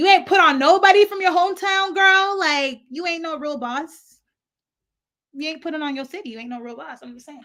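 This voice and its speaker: Speaking at a fairly quick pace with a slight African accent, a woman uses a raised, projected voice at an extremely high pitch, her bright, sharp, animated tone carrying lively intonation and big swings in loudness. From lived in Africa, now US. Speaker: YouTube commentator. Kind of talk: casual storytime vlog.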